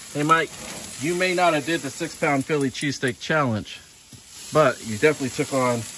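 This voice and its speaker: Fairly quick speech sounds dry with no echo, with light background noise. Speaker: vlogger filming a friend. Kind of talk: casual vlog chat. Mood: playful, joking. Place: garden. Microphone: phone near.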